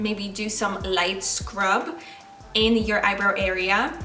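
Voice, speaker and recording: Over music in the background and audible room echo, a woman with a Polish accent speaks at a medium pitch with ordinary pitch variation. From Poland. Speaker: makeup artist and beauty vlogger. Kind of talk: makeup tutorial. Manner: casual with filler ums.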